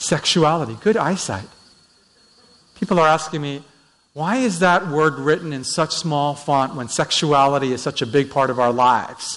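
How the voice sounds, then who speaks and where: This man has a normal speaking voice with a Canadian accent and a fairly high pitch. He talks at a moderate pace with ordinary pitch variation. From Vancouver, Canada. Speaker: pastor. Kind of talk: sermon. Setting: church.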